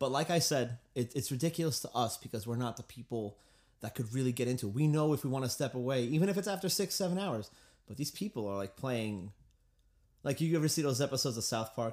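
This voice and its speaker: A man talks at a very fast clip with a Long Island accent, his pitch medium and his intonation lively. The recording is very clean, with a silent background. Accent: Long Island New York. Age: 20s. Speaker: musician and guitar teacher. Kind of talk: casual podcast chat.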